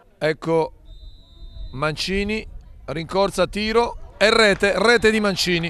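A high-pitched man at a very slow pace, with ordinary pitch variation and long, frequent pauses. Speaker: football commentator. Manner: emphatic and repetitive, with abrupt interjections such as 'Attenzione'.

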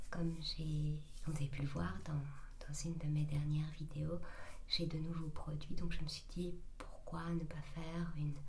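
Soft-spoken and gentle in tone, a woman talks at a fairly slow pace in a very deep, low voice with monotone, flat intonation, over light background noise. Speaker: ASMR content creator. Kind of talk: ASMR routine video, casual talk to camera. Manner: soft-spoken, gentle. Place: bathroom. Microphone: studio mic.

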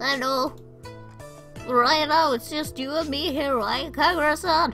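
Clear music plays behind a woman doing a put-on character voice at a high pitch. She goes at a fairly slow pace with fairly even intonation. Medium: solo performance. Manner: sweet, earnest.

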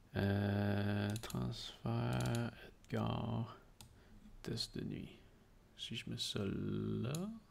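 A man speaks at a very slow pace with long, frequent pauses over light background noise. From Quebec. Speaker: tech podcast co-host. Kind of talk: casual chat. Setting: live stream. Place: home room. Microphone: studio mic.

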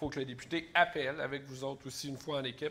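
Over light background noise, a man with a Quebec accent talks fairly quickly in a fairly high voice with ordinary pitch variation. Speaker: special educator and election candidate; special educator, election candidate. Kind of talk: political debate. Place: stage. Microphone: lapel.

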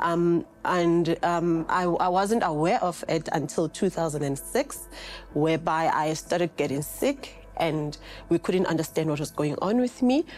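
Faint music sits in the background behind a woman with a fairly low pitch. She speaks at a fairly slow pace with ordinary pitch variation and very even loudness. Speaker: interview guest. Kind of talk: interview answer. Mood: calm, reflective, some laughter. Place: studio.

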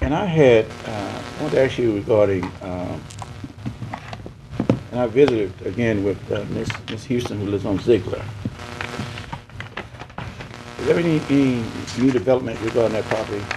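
With music playing in the background, a man talks at a moderate pace, leaving long, frequent pauses. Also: ordinary pitch variation. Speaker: council chairman. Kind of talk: meeting questioning. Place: hall.

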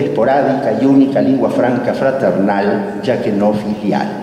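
A man talks at a moderate pace, and room echo is audible. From Buenos Aires, Argentina. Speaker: academy president. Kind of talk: formal welcome speech. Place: hall. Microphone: camera far.

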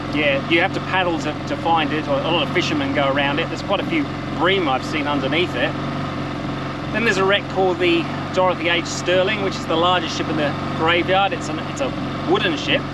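A man at a very fast pace with ordinary pitch variation, a dry sound with no echo, and loud background noise. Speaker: tour guide. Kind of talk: casual vlog commentary. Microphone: phone near.

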